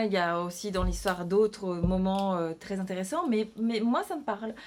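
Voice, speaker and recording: With a non-native accent, a woman talks in a medium pitch. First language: not French (speaking French). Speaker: novelist and illustrator. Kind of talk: casual vlog announcement. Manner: halting, many hesitations and repetitions.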